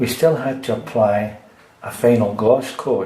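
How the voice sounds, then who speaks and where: Speech in a Scottish accent comes at a very slow pace with ordinary pitch variation, set against noticeable background noise and audible room echo. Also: man. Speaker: DIY repair video maker. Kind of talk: tutorial. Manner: casual.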